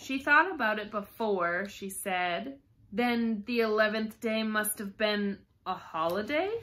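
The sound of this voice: The reading comes across in an unforced voice.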